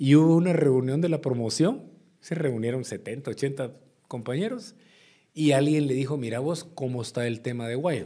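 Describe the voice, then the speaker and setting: Against a quiet background, a man with a fairly high, dark and mellow voice talks at a fairly slow pace with ordinary pitch variation. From Guatemala. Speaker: former politician and businessman; former politician. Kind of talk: interview. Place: studio. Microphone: studio mic.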